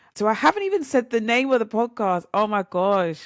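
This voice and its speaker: A woman with lively intonation and a British accent, on a very clean recording with a silent background and a dry, close sound with no echo. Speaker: podcast host. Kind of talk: casual monologue. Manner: chatty, animated.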